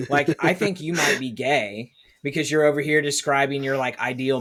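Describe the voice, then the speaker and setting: A man talking at a fairly quick pace. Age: 30s. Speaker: podcast host. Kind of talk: casual chat. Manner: animated.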